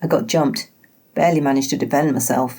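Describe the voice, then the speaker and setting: A woman's put-on character voice, gravelly and raspy, very deep and low in pitch, at a very fast pace. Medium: read story. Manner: wry, guarded.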